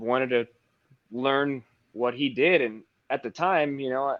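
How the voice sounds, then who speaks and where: With an American accent, a man speaks at a moderate pace and a medium pitch. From Texas. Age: 30s. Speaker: paintless dent repair technician. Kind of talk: casual interview.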